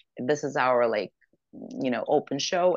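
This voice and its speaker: The dry, close recording, with no echo, carries a woman's lively intonation. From Ukraine, Odessa. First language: Russian or Ukrainian. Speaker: actress and singer. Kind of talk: interview.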